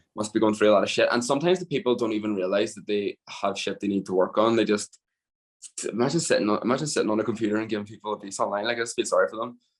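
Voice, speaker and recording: Speaking with a Northern Irish accent, a man goes at a very fast pace. His medium pitch shows ordinary variation. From Northern Ireland. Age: 20s. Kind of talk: podcast interview answer. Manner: casual.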